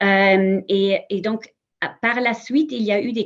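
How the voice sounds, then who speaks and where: Her voice sits at a fairly high pitch with ordinary variation as the woman speaks with a non-native accent. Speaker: history museum representative. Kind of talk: conference panel talk. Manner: halting, many repetitions and fillers.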